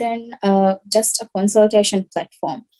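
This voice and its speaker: A woman with a Maldivian accent speaks at a fairly high pitch with ordinary pitch variation. Her tone is dark and mellow. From Maldives. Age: 20s. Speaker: social entrepreneur. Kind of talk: pitch presentation.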